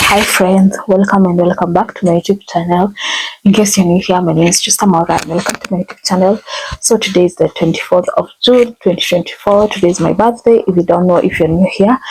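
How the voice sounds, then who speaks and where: A woman at a medium pitch with fairly even intonation, over noticeable background noise. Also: fairly quick pace. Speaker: vlogger. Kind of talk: casual vlog. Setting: out and about in shops.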